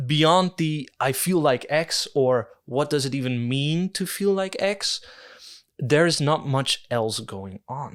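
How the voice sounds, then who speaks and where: Speaking very slowly with a Dutch accent, a man uses a fairly high pitch and lively intonation. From Netherlands. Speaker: video essayist. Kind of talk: video essay. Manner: hesitant, with fillers.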